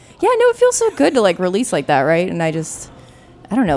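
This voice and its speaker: Over background music, a woman talks at a very fast pace with ordinary pitch variation. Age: 30s. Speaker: guest. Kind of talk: casual chat.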